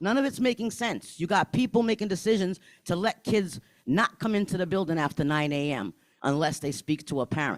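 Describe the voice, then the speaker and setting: The voice is loud and animated, with lively intonation and a fairly quick pace. The recording is very clean, with a silent background and a dry, close sound with no echo. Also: man, high pitch for a man. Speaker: parent speaking at public comment. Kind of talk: public comment at school board meeting.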